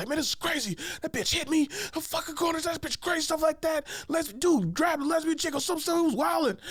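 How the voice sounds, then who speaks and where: Over light background noise, a man puts on an extremely high character voice at a fairly quick pace. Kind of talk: street slang. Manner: relaxed, smooth, nonchalant.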